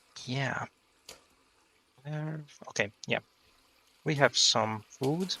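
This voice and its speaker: In a non-native accent, the speaker goes at a very slow pace with long, frequent pauses and ordinary pitch variation, the sound dry and close with no echo. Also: man, fairly high pitch for a man. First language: not English. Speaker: gaming youtuber. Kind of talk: let's play commentary. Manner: halting, many fillers.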